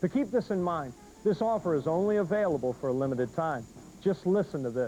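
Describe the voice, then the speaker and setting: A man speaks very fast in a high voice, his pitch swinging very widely while his loudness stays very even, with music in the background. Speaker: infomercial host. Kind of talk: TV infomercial pitch. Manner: upbeat, enthusiastic.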